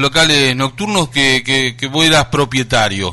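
Ordinary pitch variation marks a man's speech, heard over noticeable background noise. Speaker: radio host. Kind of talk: radio interview. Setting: studio.

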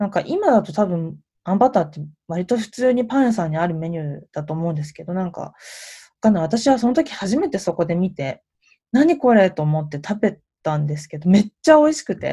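A woman speaks at a medium pitch with a dark, mellow, somewhat breathy tone, her pitch swinging very widely and her loudness shifting a lot. She talks at a fairly quick pace on a very clean recording with a silent background. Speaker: podcast host. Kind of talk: casual solo monologue.

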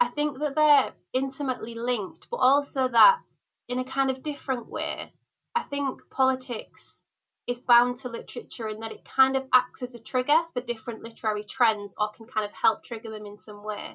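Speaking at a moderate pace in a Yorkshire accent, this woman has a high pitch and a bright, sharp tone, with ordinary pitch variation and big swings in loudness. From Hull, Yorkshire, northern England. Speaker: academic researcher. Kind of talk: interview conversation.

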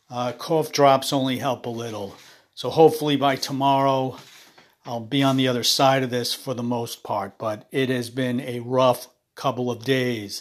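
This man's raspy voice sits at a medium pitch, moving at a moderate pace with fairly even intonation.

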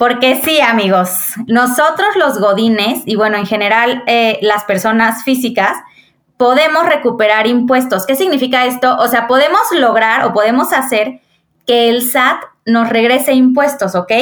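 Speaking at a fairly slow pace with a Mexican accent, a woman keeps her high-pitched voice at a very even loudness. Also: ordinary pitch variation. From Mexico, Querétaro. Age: 30s. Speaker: accountant. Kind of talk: casual interview.

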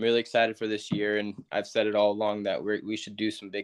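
With a Californian accent, a man speaks at a fairly low pitch. The background is quiet. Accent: Californian American. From Northern California, Yuba City. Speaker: college baseball player. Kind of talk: interview.

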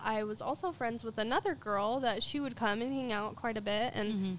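A woman in an American accent speaks at a fairly high pitch with ordinary pitch variation. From Utah, Ogden. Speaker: singer. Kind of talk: casual chat.

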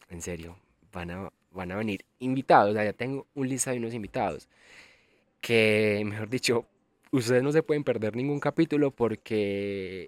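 With a Colombian paisa accent, a man speaks at a fairly slow pace and medium pitch with ordinary variation, the very clean recording dry and close with no echo against a silent background. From Colombia, Antioquia (El Carmen de Viboral). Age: 20s. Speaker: podcast host, travel influencer. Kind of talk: casual monologue. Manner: animated.

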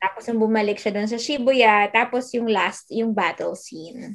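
Speaking at a fairly slow pace, a woman has a fairly high pitch, ordinary pitch variation and an ordinary speaking voice. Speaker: podcast co-host. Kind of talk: casual chat.

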